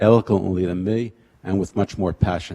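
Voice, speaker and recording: The sound is dry and close, with no echo. A man with a very deep, low pitch and a dark, mellow tone speaks at a moderate pace with fairly even intonation. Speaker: public commenter at council meeting. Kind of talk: public comment reading prepared speech. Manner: monotone.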